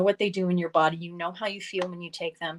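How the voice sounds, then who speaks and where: A woman speaks in a plain, everyday voice at medium pitch and a moderate pace. Her intonation is fairly even, and the sound is dry and close with no echo. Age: 50s. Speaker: wellness author. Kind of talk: casual interview chat.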